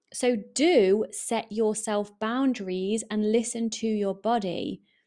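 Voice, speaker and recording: A woman with an English accent has a dark, mellow tone at a fairly high pitch. The recording is very clean, with a silent background. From England. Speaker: podcast host and eating coach. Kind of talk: solo podcast monologue, casual and motivational. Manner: warm, chatty, upbeat.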